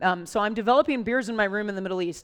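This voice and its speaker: With an American accent and an animated tone, a woman at medium pitch talks at a fairly quick pace with ordinary pitch variation. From Idaho, US (Boise). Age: 40s. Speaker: brewery founder and speaker, Navy veteran. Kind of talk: live talk to an audience. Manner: fast.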